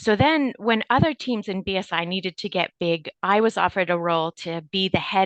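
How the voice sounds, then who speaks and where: A woman with an unremarkable speaking voice, medium pitch, ordinary pitch variation and a moderate pace, in a Canadian accent, with a dry, close sound with no echo and a quiet background. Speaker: medical device regulatory executive. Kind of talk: podcast interview.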